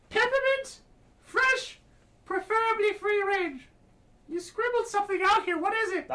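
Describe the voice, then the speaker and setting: A put-on character voice sounds squeaky at an extremely high pitch. It moves at a moderate pace with long, frequent pauses. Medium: actual play. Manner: chipper, fussy.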